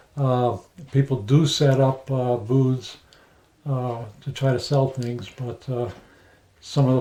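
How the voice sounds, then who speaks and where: A man with a New England accent speaks fairly slowly in a dark, mellow, somewhat breathy tone. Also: long, frequent pauses. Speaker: woodworker. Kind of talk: casual chat. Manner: halting, many fillers.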